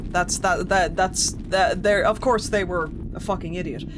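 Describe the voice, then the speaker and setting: Amid audible room echo and noticeable background noise, a man with an Irish accent speaks at a moderate pace in a high pitch. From Ireland. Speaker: gaming streamer. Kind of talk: live gameplay commentary.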